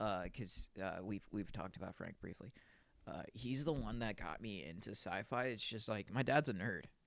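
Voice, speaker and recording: Speaking at a moderate pace, a man uses a fairly low voice with ordinary pitch variation. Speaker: podcast co-host. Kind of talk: casual chat. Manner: animated.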